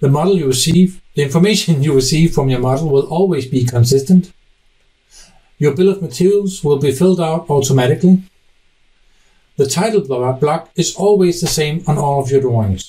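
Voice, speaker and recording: With a Danish accent, a man speaks at a fairly quick pace in a fairly high, dark, mellow, somewhat breathy voice with ordinary pitch variation. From Denmark. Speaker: software technical specialist. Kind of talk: conference presentation.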